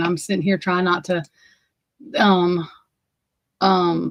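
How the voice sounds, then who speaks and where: A woman speaks with an Alabama accent at a medium pitch. The sound is dry and close, with no echo. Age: 40s. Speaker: livestream host. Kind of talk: casual livestream chat. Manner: animated.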